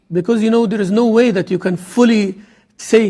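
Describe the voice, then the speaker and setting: Fairly quick, high-pitched speech from a man with an Arabic accent and ordinary pitch variation. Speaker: imam. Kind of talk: lecture. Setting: mosque.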